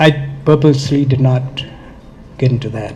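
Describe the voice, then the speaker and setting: A man's fairly high voice with fairly even intonation at a moderate pace, plus audible room echo and noticeable background noise. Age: 70s. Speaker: author and addiction speaker. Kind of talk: speech at event. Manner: passionate.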